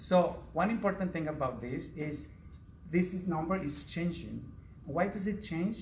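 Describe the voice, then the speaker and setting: With audible room echo around him, a man speaks in a Spanish accent. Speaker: Spanish teacher. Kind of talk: prepared speech at a speaking club.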